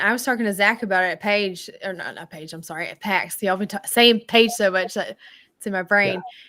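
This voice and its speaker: In a very clean recording with a silent background, a woman with a bright, sharp tone and medium pitch talks fairly quickly, her loudness swinging widely and her pitch varying in an ordinary way. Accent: Southern US. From Tennessee. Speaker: game designer. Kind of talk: casual chat.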